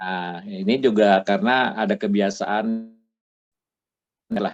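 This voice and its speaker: Music plays behind a man with a fairly low pitch. He speaks at a very slow pace with fairly even intonation. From Bandung, West Java, Indonesia. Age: 60s. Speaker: retired patient giving testimony. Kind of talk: testimony interview. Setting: video call.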